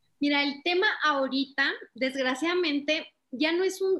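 Her pitch varies in an ordinary way. The speaker is a woman. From Chihuahua, northern Mexico. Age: 20s. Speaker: political communication strategist. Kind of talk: interview.

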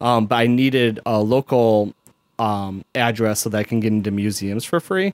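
A man with a Chicago accent talks at a moderate pace, his medium pitch showing ordinary variation. His loudness stays very even, and the sound is dry and close with no echo. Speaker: podcast co-host. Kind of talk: casual chat. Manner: casual, rambling with fillers.

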